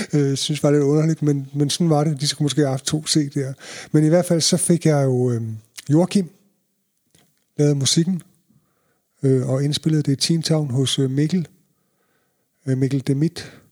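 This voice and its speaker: The recording is dry and close with no echo. A man with a fairly high pitch and fairly even intonation speaks at a fairly slow pace, with long, frequent pauses. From Denmark, Jutland (Ringkøbing) then North Zealand (Allerød) from age 11. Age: 50s. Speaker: reggae DJ and promoter. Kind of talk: interview, personal stories.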